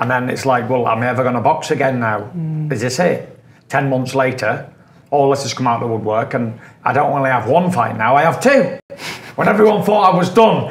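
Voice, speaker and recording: A man rushes along at a very fast pace, and the room echo is audible. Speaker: interviewee. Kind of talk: interview answer. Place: studio.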